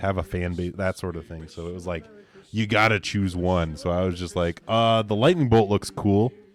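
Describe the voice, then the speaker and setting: A man with an American accent, very deep low pitch, fairly even intonation and a moderate pace. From Canada. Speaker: streamer painting live. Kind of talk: casual live-stream chat. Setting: live stream on camera.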